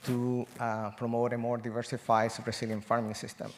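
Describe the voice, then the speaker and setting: A man speaks with a Spanish accent. His pitch is medium and his pace fairly quick. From Chile. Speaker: agroecology professor. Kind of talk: panel discussion.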